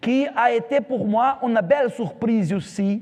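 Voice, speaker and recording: A man speaks in an extremely high voice with a Brazilian accent. His pace is fairly slow, and his pitch varies an ordinary amount. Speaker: pastor. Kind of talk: sermon. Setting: church. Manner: halting.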